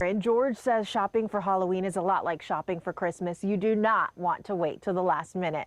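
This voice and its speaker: Noticeable background noise sits behind a woman as she speaks. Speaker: TV news reporter. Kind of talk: TV news report.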